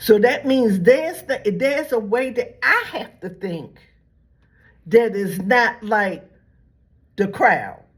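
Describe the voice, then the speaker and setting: The voice moves through very wide pitch swings at a very slow pace, somewhat breathy and with long, frequent pauses. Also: woman. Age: 70s. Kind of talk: religious commentary monologue. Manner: repetitive, halting restarts.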